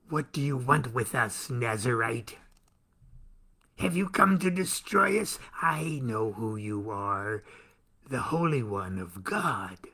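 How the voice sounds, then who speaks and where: In a raspy, put-on character voice with a medium pitch, a man speaks at a fairly slow pace. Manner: menacing.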